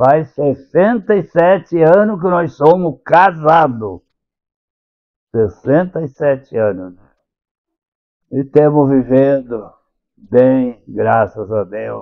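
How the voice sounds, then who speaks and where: Delivering at a very slow pace with long, frequent pauses, a man speaks at a fairly high pitch with very wide pitch swings and big swings in loudness. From southern Brazil, Santa Catarina. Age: 90s. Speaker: retired local politician and church elder. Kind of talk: interview, life story.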